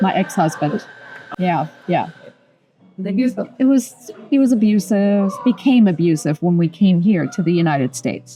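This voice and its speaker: Lively intonation and very even loudness carry the fairly slow speech, which has long, frequent pauses and music in the background. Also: woman, medium pitch for a woman. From Germany. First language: German. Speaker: interior designer. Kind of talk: oral history interview.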